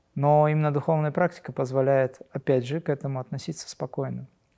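With a dark, mellow tone and a fairly high pitch for a man, he speaks at a fairly quick pace with fairly even intonation. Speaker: spiritual teacher. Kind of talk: Q&A webinar. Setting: online livestream.

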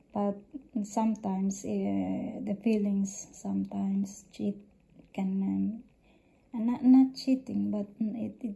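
A woman with a non-native accent speaks very slowly in a somewhat breathy, medium-pitched voice with a dark, mellow tone and monotone, flat intonation. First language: not English. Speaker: vlogger. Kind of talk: casual monologue to camera. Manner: halting, many fillers.

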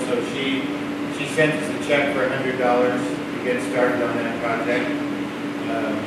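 A man talks at a very slow pace. Loud background noise and audible room echo surround him. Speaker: public speaker. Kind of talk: informal public remarks. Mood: light, joking. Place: hall.

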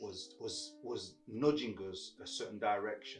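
A man is talking. Clear music plays behind him. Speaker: guest. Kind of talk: interview answer. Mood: reflective, warm.

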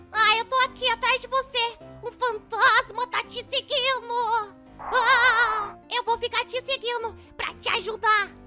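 Over faint music in the background, a cartoonish character voice speaks at a fairly slow pace. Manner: playful, boastful.

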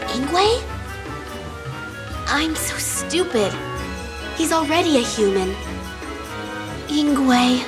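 With clear music behind her, a woman uses a put-on character voice at a high pitch, with lively intonation, a very slow pace and long, frequent pauses.

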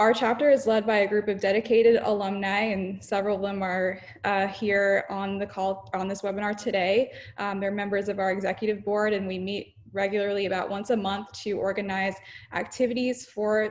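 Flat and monotone, a woman talks at a fairly quick pace. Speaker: student society president hosting the webinar. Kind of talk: webinar introduction. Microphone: video call.

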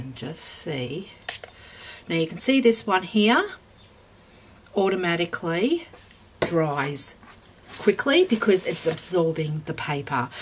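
An Australian accent at a very slow pace, with lively intonation, big swings in loudness, long, frequent pauses and noticeable background noise. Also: woman, fairly low pitch for a woman. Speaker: craft YouTuber. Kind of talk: tutorial. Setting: home craft room. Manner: casual, with fillers.

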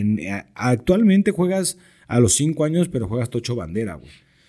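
Against a quiet background, a man with a dark, mellow tone speaks at a fairly quick pace with lively intonation. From Mexico. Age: 30s. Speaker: sports broadcaster and American football coach; American football coach. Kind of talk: casual interview. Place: studio. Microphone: studio mic.

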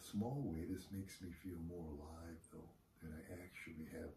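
A soft-spoken man talks with a somewhat breathy, dark and mellow voice at a very deep, low pitch. Audible room echo and light background noise are present. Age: old. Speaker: vlogger and retired investor; retiree vlogger. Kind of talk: casual monologue vlog. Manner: hesitant, many fillers. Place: home room. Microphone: camera far.

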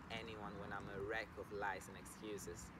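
Loud background noise surrounds a man speaking at a moderate pace, the sound itself dry with no echo. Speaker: yoga teacher. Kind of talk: slam poetry reading. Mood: earnest, emotional, vulnerable. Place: waterside.

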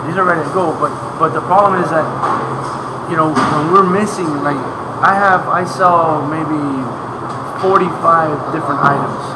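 The man talks fairly quickly. Loud background noise runs beneath his words. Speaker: factory host. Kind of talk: interview answer. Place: factory. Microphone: camera far.

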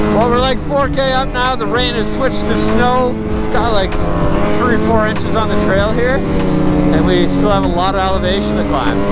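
Loud background noise fills a dry sound with no echo. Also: moderate pace. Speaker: snowmobile rider vlogger. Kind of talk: casual vlog chat. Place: forest. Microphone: helmet.

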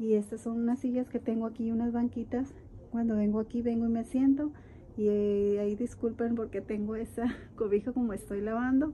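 The speaker moves at a fairly quick pace, with a dark, mellow tone and fairly even intonation. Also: woman, fairly high pitch for a woman.

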